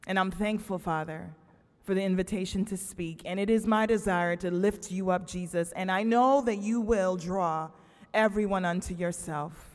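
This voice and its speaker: Her tone is warm, at a medium pitch for a woman. She keeps a moderate pace. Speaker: guest preacher and campus chaplain. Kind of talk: sermon. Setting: church pulpit with congregation. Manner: animated, call-and-response preaching; loud, emphatic, with warm humor.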